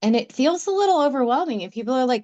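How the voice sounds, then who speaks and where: Lively intonation from a woman, with a quiet background. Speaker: spiritual healing live stream co-host. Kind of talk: casual chat. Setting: live stream. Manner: intense.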